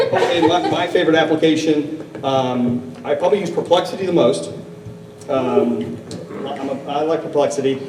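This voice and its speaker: A man speaks at a fairly high pitch. The recording has audible room echo and noticeable background noise. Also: ordinary pitch variation, moderate pace. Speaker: corporate lawyer and risk officer on a panel. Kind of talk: panel discussion. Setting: stage with audience, microphone. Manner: loud; halting, many fillers.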